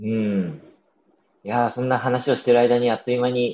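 Moderate pace and fairly even intonation from a man with a dark, mellow tone at medium pitch. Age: 30s. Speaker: podcast host. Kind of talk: casual chat.

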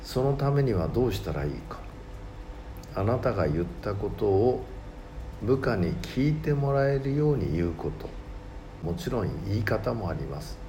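In a room with audible echo and noticeable background noise, a man with a fairly low pitch speaks at a moderate pace, his pitch swinging very widely between long, frequent pauses. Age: 60s. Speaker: mentor and author. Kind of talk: reading aloud. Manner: formal.

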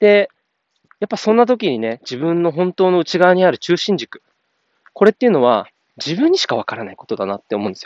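The speech moves at a fairly quick pace, with very wide pitch swings and big swings in loudness. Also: man, high pitch for a man. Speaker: podcaster. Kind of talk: casual monologue. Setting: outdoors, walking.

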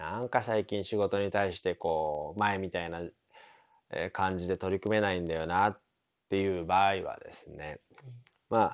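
Recorded very cleanly with a silent background, a man with a very deep, low pitch talks at a moderate pace, with fairly even intonation and long, frequent pauses. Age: 30s. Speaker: consultant. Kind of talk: solo podcast monologue. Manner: casual, filler-heavy.

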